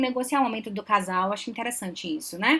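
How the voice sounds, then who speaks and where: A woman with a Belém accent talks at a fairly quick pace in a fairly high pitch, with ordinary pitch variation. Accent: Belém accent, noticeable. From Belém do Pará, northern Brazil. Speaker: psychologist, relationship advisor. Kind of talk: live stream Q&A talk. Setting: live stream.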